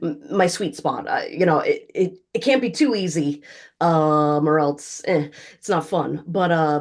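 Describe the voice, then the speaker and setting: A woman's ordinary speaking voice in an American accent, fairly low in pitch with ordinary pitch variation, at a fairly slow pace against a quiet background. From Florida. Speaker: voiceover artist. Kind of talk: casual interview answer. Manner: conversational, upbeat.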